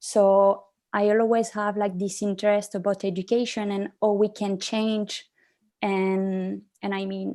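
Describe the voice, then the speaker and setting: Her French accent comes through as a woman speaks at a fairly slow pace with a medium pitch. Her dark, mellow tone stays monotone and flat. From France. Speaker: young social entrepreneur, panelist. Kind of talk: panel discussion. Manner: hesitant, many fillers.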